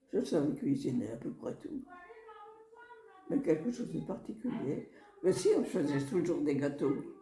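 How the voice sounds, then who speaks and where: Amid noticeable background noise, the speaker moves at a fairly slow pace with very wide pitch swings and long, frequent pauses. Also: woman, medium pitch for a woman. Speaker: elderly relative sharing life memories. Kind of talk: oral history interview.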